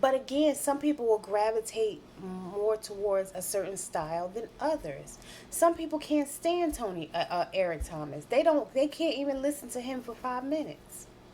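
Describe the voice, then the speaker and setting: Loud and fairly high-pitched, a woman with an American accent speaks at a moderate pace with very wide pitch swings. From New Jersey. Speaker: life coach and commentary vlogger. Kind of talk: commentary monologue. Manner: direct and blunt.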